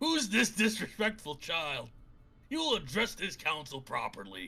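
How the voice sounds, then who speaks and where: A man in a put-on character voice sounds gravelly and high, speaking at a moderate pace. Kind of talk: commanding. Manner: haughty, scolding.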